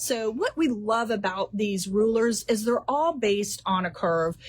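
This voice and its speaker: A woman with a fairly high voice speaks fairly slowly, her intonation lively. Noticeable background noise sits behind her. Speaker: quilt shop owner. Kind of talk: live stream product and class presentation. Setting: in a quilt shop. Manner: animated.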